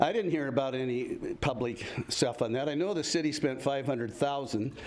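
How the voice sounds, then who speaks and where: A man with medium pitch and an American accent speaks at a moderate pace. There is noticeable background noise and audible room echo. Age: 70s. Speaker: retired firefighter, public commenter. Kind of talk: public comment at city council meeting. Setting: council chamber, public meeting. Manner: halting, many fillers.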